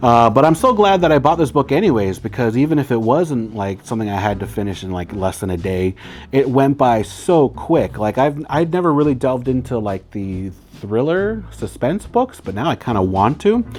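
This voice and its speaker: This man's medium-pitched voice makes very wide pitch swings at a moderate pace. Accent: American. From Arizona, Yavapai reservation near Phoenix. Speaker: book reviewer. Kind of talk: casual book review monologue. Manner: casual, many fillers and restarts.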